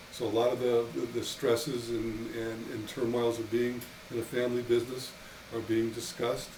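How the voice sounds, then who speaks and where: A man's medium-pitched voice in a flat monotone at a moderate pace, with audible room echo and noticeable background noise. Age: 60s. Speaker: winery owner. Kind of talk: casual interview. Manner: halting, many repeated words.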